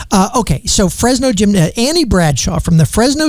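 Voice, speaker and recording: With noticeable background noise behind it, the speech runs at a moderate pace and carries lively intonation. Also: man. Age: 60s. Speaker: radio host and attorney. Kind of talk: casual radio interview.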